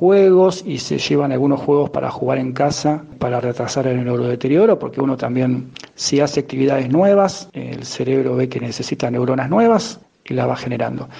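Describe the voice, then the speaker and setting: There is noticeable background noise as a man talks at a medium pitch. He speaks at a moderate pace with ordinary pitch variation. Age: 40s. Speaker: emotional intelligence coach and teacher. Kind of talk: interview.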